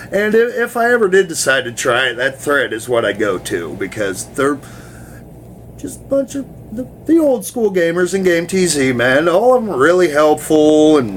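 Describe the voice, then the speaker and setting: Over noticeable background noise, a man talks at a moderate pace in a fairly high pitch with very wide pitch swings. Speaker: gaming forum video blogger. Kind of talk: casual vlog talk. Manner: casual, rambling with filler words; stuttering, halting.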